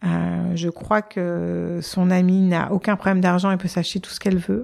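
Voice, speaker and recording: This is a woman speaking at a medium pitch and a moderate pace. The recording is very clean, with a silent background. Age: 40s. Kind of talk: interview. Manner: hesitant, many fillers.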